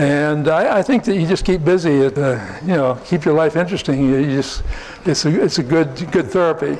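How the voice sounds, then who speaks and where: Against noticeable background noise, a man speaks at a fairly quick pace in a fairly high voice, with very even loudness and ordinary pitch variation. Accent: American. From US Northeast, New Jersey. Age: 70s. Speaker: researcher and polygraph expert. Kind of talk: conference talk and Q&A. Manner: halting, many fillers.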